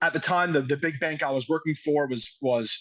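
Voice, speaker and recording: Against a quiet background, a man with a New York accent talks at a fairly quick pace, his fairly high pitch showing ordinary variation. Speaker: high school football coach. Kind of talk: podcast interview. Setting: outdoors. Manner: fast.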